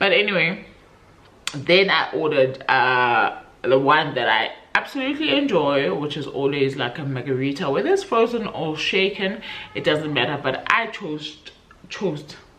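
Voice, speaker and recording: Amid noticeable background noise and audible room echo, a woman with a very deep, low voice speaks in a relaxed tone with lively intonation. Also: moderate pace. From South Africa. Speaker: book vlogger. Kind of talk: casual vlog chat. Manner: relaxed, chatty.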